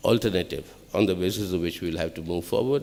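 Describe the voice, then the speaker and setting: A man speaks with a Telugu accent. His intonation is lively. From Andhra Pradesh, India. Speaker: political speaker. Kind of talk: public speech.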